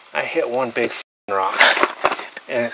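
A man's voice comes through with a dry sound with no echo and noticeable background noise. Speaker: mine explorer host. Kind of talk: casual vlog chat. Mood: rueful, joking frustration. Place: open country.

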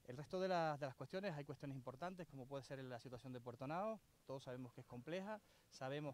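Speaking very fast, a man uses a medium pitch with ordinary variation. The sound is dry, with no echo. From Canary Islands. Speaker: local politician and island council candidate; local politician, council candidate. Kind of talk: press conference statement. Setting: outdoors at a construction site. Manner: hesitant, with fillers and repetitions. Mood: critical, earnest. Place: open country. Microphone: handheld.

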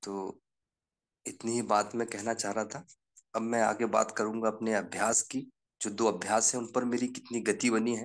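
The background stays quiet. This man's intonation is monotone and flat. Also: medium pitch for a man, moderate pace. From Seoni, Madhya Pradesh. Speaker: journalist. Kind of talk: personal testimony in online group session.

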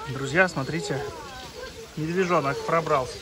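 Over clear background noise, a man speaks fairly slowly at a fairly high pitch with ordinary pitch variation.

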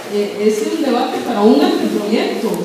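Noticeable background noise and strong room echo surround speech delivered at a fairly slow pace with ordinary pitch variation. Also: woman. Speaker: community workshop facilitator. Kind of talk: public talk to a community meeting. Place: hall. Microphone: camera far.

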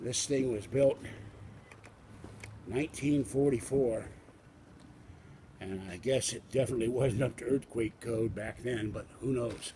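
Over light background noise, a man talks at a fairly slow pace with fairly even intonation. His speech has long, frequent pauses. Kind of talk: casual walking tour commentary. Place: street. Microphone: phone near.

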